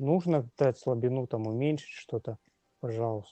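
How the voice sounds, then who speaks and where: This man's voice is at a medium pitch. Its pitch variation is ordinary. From Russian Far East (Magadan). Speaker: brain cancer patient and blogger. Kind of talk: interview testimony. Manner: halting, many fillers.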